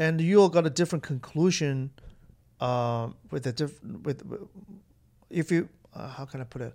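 The tone is dark and mellow, with ordinary pitch variation at a moderate pace. Loudness swings widely, and long pauses come often. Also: man, fairly high pitch for a man. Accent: Chinese. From northern China (Jinan, Shandong). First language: Mandarin Chinese. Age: 30s. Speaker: stand-up comedian. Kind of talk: casual chat. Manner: halting.

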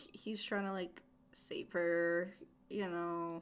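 At a very slow pace, a woman speaks at a medium pitch with fairly even intonation and a bright, sharp tone. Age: 20s. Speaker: podcast co-host. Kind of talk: casual chat.

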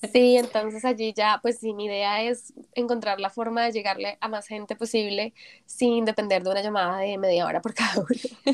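Using a plain, everyday voice, a woman with fairly high pitch and fairly even intonation talks at a moderate pace, the sound dry and close with no echo. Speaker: entrepreneur. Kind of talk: interview.

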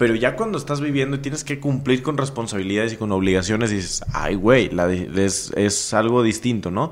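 This man talks at a moderate pace with a Mexican accent. His pitch sits in the medium range, with ordinary variation. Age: 20s. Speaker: entrepreneur. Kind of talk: casual interview.

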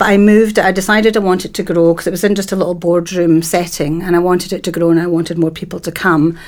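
With a Dundee accent, a woman rushes along at a very fast pace with hardly any pauses. Her intonation is monotone and flat. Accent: Scottish (Dundee). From Scotland, Dundee. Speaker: networking events organiser. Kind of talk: casual interview chat.

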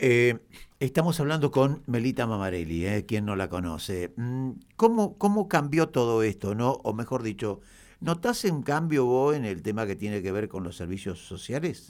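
In a very clean recording with a silent background, a man at medium pitch speaks at a moderate pace with very wide pitch swings. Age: 70s. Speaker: local radio host. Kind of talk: casual interview.

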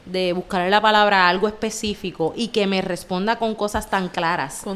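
A woman with a Puerto Rican accent at a moderate pace, with fairly even intonation. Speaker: podcast co-host. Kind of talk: casual chat.

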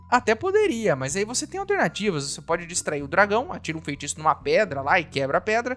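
Delivery is very fast with lively intonation and hardly any pauses. Noticeable background noise runs underneath. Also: man, high pitch for a man. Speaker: podcast host. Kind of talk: casual solo commentary.

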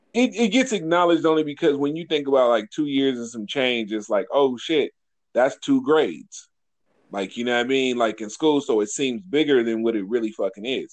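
A man speaks in a plain, everyday voice, fairly high in pitch, with lively intonation. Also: fairly quick pace. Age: 40s. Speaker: podcast co-host. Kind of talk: casual chat.

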